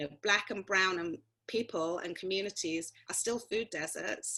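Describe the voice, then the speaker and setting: A woman talks at a moderate pace over a quiet background. Her medium-pitched voice has a bright, sharp tone and ordinary pitch variation. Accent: London. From London, England. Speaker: actor and prison activist. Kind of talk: interview answer.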